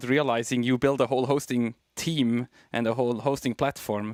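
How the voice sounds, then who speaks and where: A man in a Swiss German accent speaks at a medium pitch and a moderate pace, with monotone, flat intonation. The sound is dry and close with no echo, in a very clean recording with a silent background. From Switzerland. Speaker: tech company co-founder. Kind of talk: interview.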